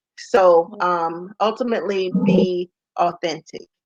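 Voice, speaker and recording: An American accent marks this voice. It belongs to a woman. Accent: country twang. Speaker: entrepreneur and golf business founder. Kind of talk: interview. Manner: casual.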